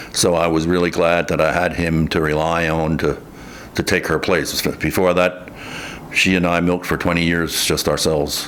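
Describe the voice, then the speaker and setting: A man with an American accent speaks at a moderate pace in a very deep, low pitch, with monotone, flat intonation. His loudness stays very even, and there is noticeable background noise. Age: 60s. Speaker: farmer. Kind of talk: interview testimony. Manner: halting.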